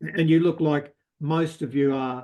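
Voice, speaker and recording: He speaks with an Australian accent. The voice is a man's. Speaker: audience member asking a question. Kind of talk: Q&A discussion. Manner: halting, many fillers.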